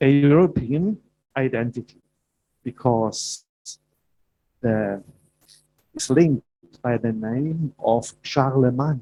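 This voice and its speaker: Speaking with a German accent, a man with a dark, mellow tone at medium pitch goes at a very slow pace with long, frequent pauses and ordinary pitch variation, in a dry, close sound with no echo. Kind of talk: prepared speech. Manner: halting.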